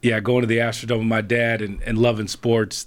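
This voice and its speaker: A man's unremarkable speaking voice, medium-pitched, at a moderate pace, with an American accent, on a very clean recording with a silent background. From Houston, Texas. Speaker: sports anchor. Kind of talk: casual chat. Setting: studio. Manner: casual, filler-heavy with repetitions.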